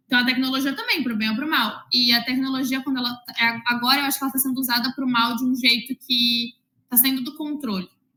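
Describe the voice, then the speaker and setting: Raised and projected, a woman's high-pitched voice races at a very fast pace in a flat monotone. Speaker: math teacher. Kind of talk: interview. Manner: loud.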